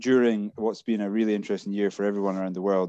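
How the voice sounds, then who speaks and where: The voice has a dark, mellow tone with an Edinburgh accent and a very fast pace. The sound is dry and close with no echo, over a quiet background. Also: man. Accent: Scottish (Edinburgh). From Scotland, Edinburgh. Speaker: brewery employee. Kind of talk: casual chat.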